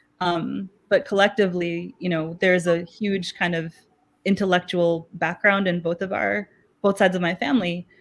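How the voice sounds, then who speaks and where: At a moderate pace, a woman speaks in a fairly low, monotone voice with flat intonation. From Chicago, US (born in Pakistan). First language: Urdu. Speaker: math educator. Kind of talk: interview.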